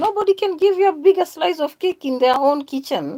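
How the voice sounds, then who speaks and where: Animated in tone, the speaker moves at a fairly quick pace with a Kenyan accent. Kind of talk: religious monologue.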